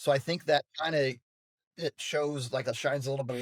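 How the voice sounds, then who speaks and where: A man with an American accent and a normal speaking voice, at a medium pitch and moderate pace, in a dry, close sound with no echo and a very clean recording with a silent background. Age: 30s. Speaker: college weightlifting coach. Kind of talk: podcast interview.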